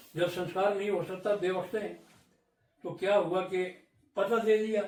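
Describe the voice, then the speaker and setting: A high-pitched man with monotone, flat intonation. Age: 80s+. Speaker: village elder, folk storyteller. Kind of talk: interview answer.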